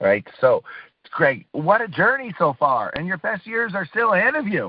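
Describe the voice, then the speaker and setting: Very wide pitch swings mark a man's animated tone. He speaks at a fairly slow pace. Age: 60s. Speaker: radio show host. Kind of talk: casual interview chat; reading guest bio introduction. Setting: radio show.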